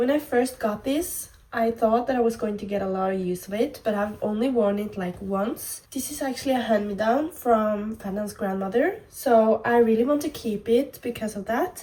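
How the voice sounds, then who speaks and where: The speaker has a Norwegian accent, a dark, mellow, somewhat breathy tone, ordinary pitch variation, and a moderate pace with hardly any pauses. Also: woman, fairly high pitch for a woman. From Norway. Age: 20s. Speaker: fashion vlogger. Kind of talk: casual vlog try-on.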